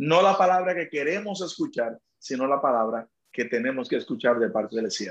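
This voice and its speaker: The man's speech moves at a moderate pace. Lively intonation runs through it. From Dominican Republic, rural east. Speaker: pastor. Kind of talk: testimony interview. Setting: live stream interview.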